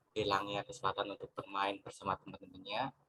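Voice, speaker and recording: A man speaks at a fairly quick pace with a bright, sharp tone and fairly low pitch, in a dry, close sound with no echo. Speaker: university student panelist. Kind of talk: panel discussion answer. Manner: formal.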